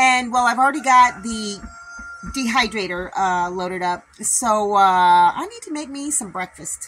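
A woman speaks in a raised, projected voice. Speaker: homesteader vlogger. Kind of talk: casual vlog chat. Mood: cheerful, friendly. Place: home room. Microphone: phone near.

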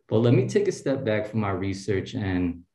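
Audible room echo surrounds a dark, mellow tone delivered at a moderate pace with ordinary pitch variation. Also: man. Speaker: postdoctoral researcher; speaker. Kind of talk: tribute speech. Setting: video call. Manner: warm, casual. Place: home room. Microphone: video call.

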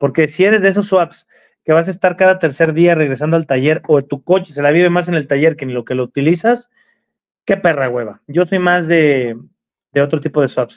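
Against a quiet background, an ordinary speaking voice moves at a fairly quick pace with ordinary pitch variation. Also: man, fairly high pitch for a man. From Mexico. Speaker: car enthusiast livestream co-host. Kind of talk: casual livestream chat. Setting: live stream. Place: home room. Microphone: video call.

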